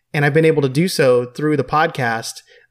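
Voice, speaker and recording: An unremarkable speaking voice from a man, fairly high in pitch, at a fairly quick pace. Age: 20s. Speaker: podcast host. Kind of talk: scripted intro; casual interview chat.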